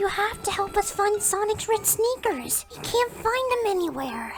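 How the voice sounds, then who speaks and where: A put-on character voice at an extremely high pitch, moderate in pace, over clear background noise. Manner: eager.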